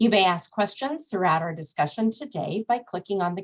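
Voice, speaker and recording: Somewhat breathy, a woman's voice moves with lively intonation. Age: middle-aged. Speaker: nonprofit executive, event opener. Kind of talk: webinar welcome and housekeeping. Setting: Zoom webinar. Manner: formal.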